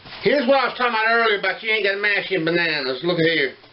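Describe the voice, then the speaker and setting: A man talks in a Southern US accent. Noticeable background noise sits behind him. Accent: Southern US (Georgia). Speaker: home cooking video host. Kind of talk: cooking tutorial. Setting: home kitchen. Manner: casual, folksy.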